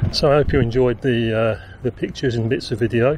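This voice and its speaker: A man talks at a fairly quick pace with fairly even intonation. The sound is dry with no echo, though there's noticeable background noise. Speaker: vlogger. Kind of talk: casual vlog chat. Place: open country. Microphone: phone near.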